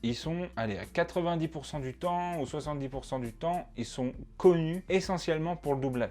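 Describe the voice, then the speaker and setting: On a very clean recording with a silent background, a man speaks at a moderate pace. His pitch is fairly high, his tone dark and mellow, and his pitch variation ordinary. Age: 20s. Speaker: student, YouTuber about dubbing. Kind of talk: casual talk to camera. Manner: casual, hesitant with fillers.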